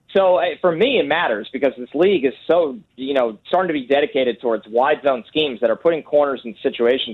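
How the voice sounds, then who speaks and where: A man with an American accent, a normal speaking voice, fairly high pitch and lively intonation at a fairly quick pace. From New York. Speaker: football draft analyst. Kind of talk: interview.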